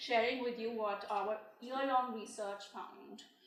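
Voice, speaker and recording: A woman with a fairly high pitch talks at a fairly slow pace with fairly even intonation, over noticeable background noise and audible room echo. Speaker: researcher presenting findings. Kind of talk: press conference presentation.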